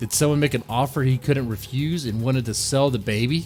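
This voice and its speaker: With music playing behind him, a man talks at a moderate pace and medium pitch, his pitch varying in an ordinary way. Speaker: radio-style true crime show host. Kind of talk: true crime podcast / radio show narration. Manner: conversational, speculative, rhetorical questions.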